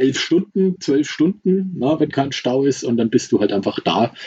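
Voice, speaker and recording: With a dark, mellow tone, a man speaks at a fairly slow pace and ordinary pitch variation. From Franconia, Germany (Nuremberg). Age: 40s. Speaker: volunteer aid driver. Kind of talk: casual interview. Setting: remote call from Mexico.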